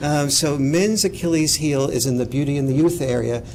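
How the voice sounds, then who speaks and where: A man with an American accent talks at a fairly quick pace and medium pitch, with ordinary pitch variation. Noticeable background noise and audible room echo are present. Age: old. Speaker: author and speaker. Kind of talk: lecture Q&A. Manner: animated.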